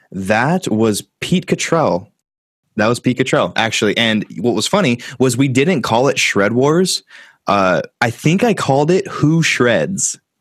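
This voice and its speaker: On a very clean recording with a silent background, a man at medium pitch speaks at a fairly slow pace, his pitch swinging very widely while his loudness stays very even. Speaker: YouTuber and metal musician. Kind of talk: casual chat. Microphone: professional-quality audio.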